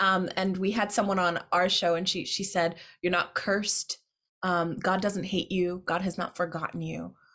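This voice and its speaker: A woman's plain, everyday voice at medium pitch and moderate pace, with fairly even intonation, on a very clean recording with a silent background. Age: 30s. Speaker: poet and podcast host. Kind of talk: casual chat.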